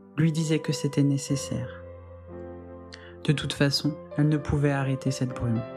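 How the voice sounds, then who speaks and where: Over music in the background, a woman talks at a fairly slow pace in a very deep, low pitch with ordinary pitch variation. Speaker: hypnotherapist, sleep podcast host. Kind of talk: sleep story / guided hypnosis session.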